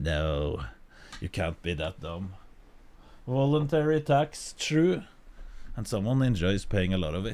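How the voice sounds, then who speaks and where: A man speaks at a fairly low pitch and a fairly slow pace, with long, frequent pauses. His pitch swings very widely. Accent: Norwegian. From Norway. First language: Norwegian. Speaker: streamer. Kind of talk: casual chat. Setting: live stream. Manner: halting.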